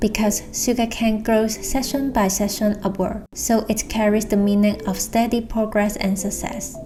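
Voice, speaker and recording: Someone with a Hong Kong accent talks at a moderate pace with hardly any pauses, over noticeable background noise. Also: woman. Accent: Hong Kong accent, Cantonese-style English. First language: Cantonese. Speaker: illustrator and designer. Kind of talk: explainer video.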